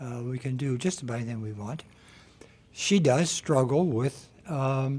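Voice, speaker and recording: At a moderate pace, a man speaks in a medium-pitched, somewhat breathy voice with ordinary pitch variation. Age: 70s. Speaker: exercise instructor for seniors. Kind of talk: radio interview.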